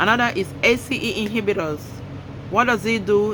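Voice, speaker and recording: Noticeable background noise and audible room echo accompany a woman speaking with ordinary pitch variation. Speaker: clinician educator. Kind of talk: lecture. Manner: fast; emphatic.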